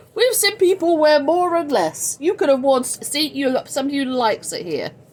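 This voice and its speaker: A woman with an American accent talks at a fairly quick pace in a high voice, with very wide pitch swings and big swings in loudness over noticeable background noise. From England. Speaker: social media host, nonprofit founder. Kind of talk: casual livestream chat. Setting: home livestream on social media. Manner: chatty, animated.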